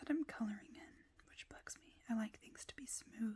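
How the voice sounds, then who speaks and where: Soft-spoken and somewhat breathy, a woman with a dark, mellow tone and a fairly high pitch talks at a fairly slow pace with lively intonation. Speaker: ASMR creator. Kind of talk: ASMR coloring video, casual talk to camera.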